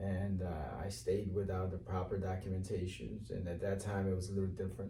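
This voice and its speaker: With an American accent, a man talks at a fairly quick pace in a very deep, low pitch and fairly even intonation. There is audible room echo and noticeable background noise. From Cape Verde, then Bridgeport, Connecticut from childhood. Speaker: mayoral candidate. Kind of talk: interview. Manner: hesitant, many fillers.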